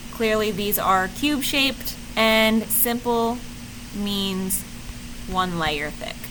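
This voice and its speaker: A woman with a fairly high voice and ordinary pitch variation speaks at a very slow pace, with audible room echo and noticeable background noise. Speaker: teacher. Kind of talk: lecture.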